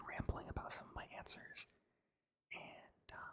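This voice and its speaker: Whispering at a fairly slow pace. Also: man. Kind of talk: ASMR rambling, answering questions. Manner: whispered and soft-spoken, switching.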